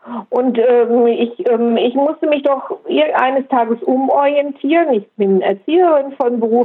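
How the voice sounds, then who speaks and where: A woman speaks at a high pitch. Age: 60s. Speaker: retired educator with multiple sclerosis. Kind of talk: casual interview.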